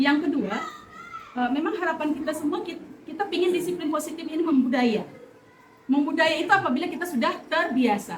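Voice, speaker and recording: With audible room echo, a woman talks at a fairly quick pace in an extremely high pitch, her pitch variation ordinary. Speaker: teacher. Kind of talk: staff meeting discussion.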